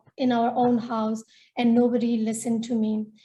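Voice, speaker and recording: Speaking fairly slowly with a Nepali accent, a woman has a high pitch and a dark, mellow tone. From Myanmar, northern Shan State. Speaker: feminist activist and storyteller. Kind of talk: webinar panel talk.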